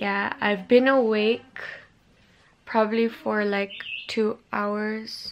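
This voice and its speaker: This woman talks very slowly at a fairly high pitch, her intonation monotone and flat. Light background noise can be heard. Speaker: vlogger. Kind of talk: casual vlog. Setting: bedroom at home. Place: home room. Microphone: phone near.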